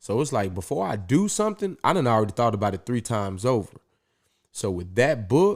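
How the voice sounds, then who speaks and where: A man talks at a fairly quick pace and a medium pitch, his tone animated and his intonation lively. The recording is very clean with a silent background. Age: 30s. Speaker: podcaster and Marine officer candidate. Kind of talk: podcast interview.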